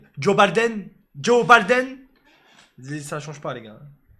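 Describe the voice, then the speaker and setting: The tone is bright and sharp, with very wide pitch swings at a very slow pace. The recording is very clean, with a silent background. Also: man. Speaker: live streamer. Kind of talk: casual live stream chat.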